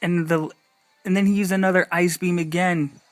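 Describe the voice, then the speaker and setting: Music plays in the background as a man speaks at a high pitch with fairly even intonation. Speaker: gaming YouTuber. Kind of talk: gameplay commentary. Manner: halting.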